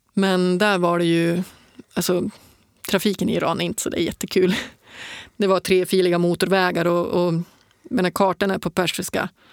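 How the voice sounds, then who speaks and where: Delivered at a moderate pace with long, frequent pauses and flat, monotone intonation, the speech has a dry, close sound with no echo in a very clean recording with a silent background. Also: woman, medium pitch for a woman. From northern Sweden, Piteå. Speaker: ultrarunner and adventurer. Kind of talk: interview conversation. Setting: studio.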